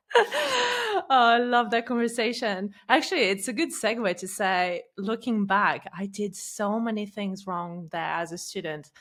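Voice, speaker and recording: With hardly any pauses, a woman speaks at a fairly slow pace and a fairly high pitch with ordinary pitch variation. There is noticeable background noise. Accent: non-native. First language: not English. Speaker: podcast host, former attorney. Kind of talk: interview podcast.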